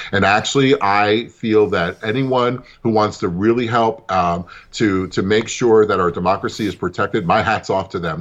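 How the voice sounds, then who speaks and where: A man's fairly low voice with an American accent, an unremarkable speaking voice, fairly even intonation, a moderate pace and hardly any pauses. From New York, Brooklyn. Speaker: political activist. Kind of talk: interview.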